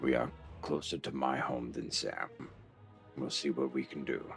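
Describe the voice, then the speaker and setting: Against clear background music, a man uses a raspy, put-on character voice in a calm tone at a moderate pace. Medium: audio drama. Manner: calm, dry, steady.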